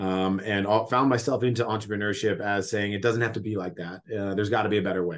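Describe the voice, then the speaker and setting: The speaker has an unremarkable speaking voice. The intonation stays fairly even. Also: man. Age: 30s. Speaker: entrepreneur. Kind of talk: casual interview chat. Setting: remote call.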